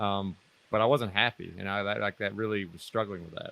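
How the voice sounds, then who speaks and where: This man talks at a very fast pace. He has a Mississippi accent and a fairly low pitch. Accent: Southern US (Mississippi). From US South, North Mississippi. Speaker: former military officer, financial independence guest. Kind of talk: interview.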